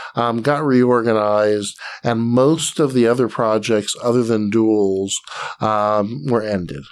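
A plain, everyday voice with an American accent speaks at a fairly slow pace, with ordinary pitch variation and very even loudness on a very clean recording with a silent background. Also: man, medium pitch for a man. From US South, Atlanta, Georgia. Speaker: game designer. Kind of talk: interview.

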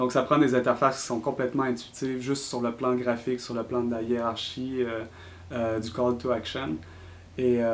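A man with a Quebec accent speaks with fairly even intonation. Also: medium pitch for a man, moderate pace. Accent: Québécois French. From Quebec City. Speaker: designer. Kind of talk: interview.

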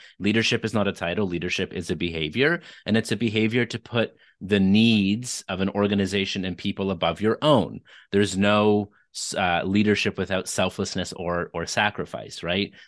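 Against a quiet background, a man with a Canadian accent uses an unremarkable speaking voice, fairly low in pitch, at a moderate pace with ordinary pitch variation. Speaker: author and leadership speaker. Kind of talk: interview.

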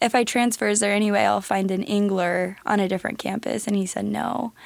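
At a moderate pace, a woman with an American accent speaks in a medium pitch with fairly even intonation and an unremarkable speaking voice. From Nebraska. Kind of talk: interview.

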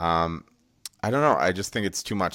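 A very deep, low male voice, recorded very cleanly against total silence. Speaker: podcast host. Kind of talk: casual banter about MMA. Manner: joking, profane.

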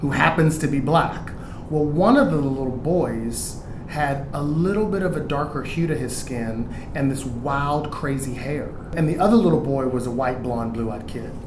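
A man with an American accent speaks at a fairly high pitch. Audible room echo and noticeable background noise run through the recording. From Houston, Texas. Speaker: Broadway actor and singer. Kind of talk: casual chat.

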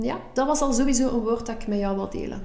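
With noticeable background noise and audible room echo around her, a woman speaks at a fairly quick pace. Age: 40s. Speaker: podcast co-host. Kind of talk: casual chat.

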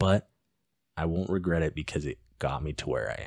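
A man talks with a very deep, low pitch, ordinary pitch variation and vocal fry. The sound is dry and close with no echo, on a very clean recording with a silent background. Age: 20s. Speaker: MMA fighter and police officer. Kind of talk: casual chat.

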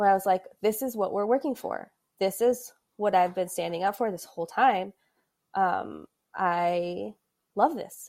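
A woman's plain, everyday voice at a medium pitch, with ordinary pitch variation and a moderate pace, on a very clean recording with a silent background. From US Midwest, Adrian, Michigan. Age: 30s. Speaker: sports communications professional. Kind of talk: casual interview.

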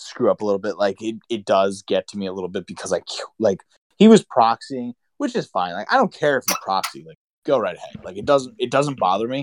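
In a dry, close recording with no echo, a man speaks in a Pennsylvania accent with ordinary pitch variation. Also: big swings in loudness, very clean recording, silent background. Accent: Pennsylvania American. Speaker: podcast co-host. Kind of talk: casual chat.

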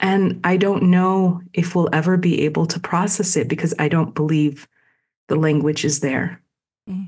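In a quiet background, a woman's somewhat breathy voice sits at a fairly low pitch with fairly even intonation. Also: moderate pace. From Palestine. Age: 40s. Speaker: pharmacist and epidemiologist. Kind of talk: interview.

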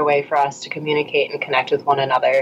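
A woman's voice over noticeable background noise. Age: 30s. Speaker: pole dance teacher and blogger. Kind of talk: casual interview chat.

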